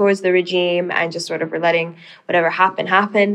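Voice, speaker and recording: A woman's unremarkable speaking voice, medium in pitch, at a fairly quick pace with fairly even intonation. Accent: American. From Sudanese American. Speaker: policy researcher. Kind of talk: casual interview.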